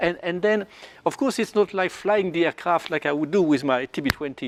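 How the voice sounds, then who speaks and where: A man with a strong French accent and a high voice, lively intonation, moderate pace, and a dry, close sound with no echo. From France. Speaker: flight test pilot. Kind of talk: panel discussion. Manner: halting, repeats words.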